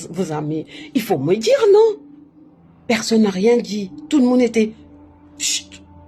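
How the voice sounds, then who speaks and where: Speaking with a non-native accent, a woman with a fairly high pitch is heard over noticeable background noise. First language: not French (speaking French). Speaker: spiritual livestreamer. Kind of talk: casual live stream monologue. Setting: live on social media. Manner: halting, self-correcting.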